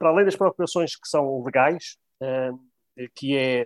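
A man with a fairly high voice and ordinary pitch variation is heard in a dry, close sound with no echo. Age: 50s. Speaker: bank employee and local election candidate. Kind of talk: interview.

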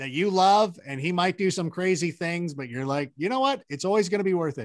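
A man with an American accent, high pitch, very wide pitch swings and a fairly quick pace, over a quiet background. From Southern California (Corona). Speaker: sports analyst and Angels fan. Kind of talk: casual chat. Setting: video call.

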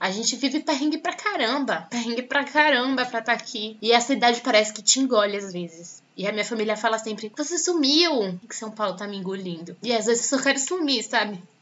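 A woman at a fairly high pitch and fairly quick pace, with lively intonation, big swings in loudness, hardly any pauses and noticeable background noise. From Salvador, Bahia, Brazil. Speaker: journalism student and podcast host. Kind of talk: personal testimony.

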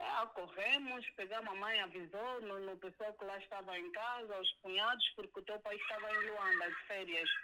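Moderately paced female speech, fairly high in pitch, with lively intonation. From Angola (Soyo). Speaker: host's mother. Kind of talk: phone interview, personal story.

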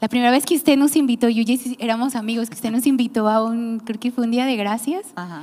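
A woman talks at a fairly quick pace with a fairly high pitch. She has an unremarkable speaking voice with ordinary pitch variation. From Mexico, Nayarit. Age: 30s. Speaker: podcast host, church team member. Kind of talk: casual chat.

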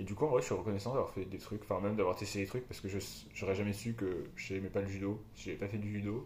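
Over audible room echo, a man speaks very fast in a somewhat breathy voice with fairly even intonation. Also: fairly low pitch for a man. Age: 20s. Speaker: podcast co-host, student. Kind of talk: casual chat. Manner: halting.

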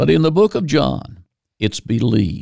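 A man with an American accent speaks at a moderate pace and medium pitch, with vocal fry. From Virginia, US. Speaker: preacher. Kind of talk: sermon. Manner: halting.

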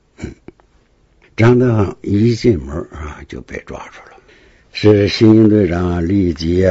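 Somewhat breathy, a man speaks at a very slow pace with ordinary pitch variation. His loudness swings a lot. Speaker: retired police detective. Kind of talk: first-hand case storytelling. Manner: halting, many fillers.

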